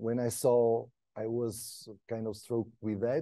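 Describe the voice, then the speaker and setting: A man speaks with a Portuguese accent. The background is quiet. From Portugal. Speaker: PhD researcher. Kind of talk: lecture. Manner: halting.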